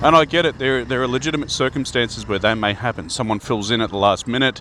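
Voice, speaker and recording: A man with an Australian accent at a very fast pace, medium in pitch with ordinary pitch variation, against noticeable background noise. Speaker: Freemason video host. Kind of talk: casual talk to camera. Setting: outdoors riding a bike.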